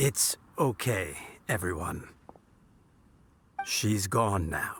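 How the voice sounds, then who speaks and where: A man uses a put-on character voice, fairly low in pitch, with lively intonation and a very slow pace. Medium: video game. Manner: soft, gentle, calm.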